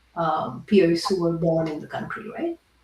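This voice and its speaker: This woman has a non-native accent. She speaks with lively intonation. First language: not English. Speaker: podcast host, product leader and investor. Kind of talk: podcast interview.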